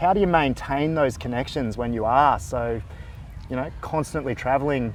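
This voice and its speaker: This is a man with an Australian accent. His pitch sits in the medium range. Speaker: psychologist and interviewer. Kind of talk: interview on mental health.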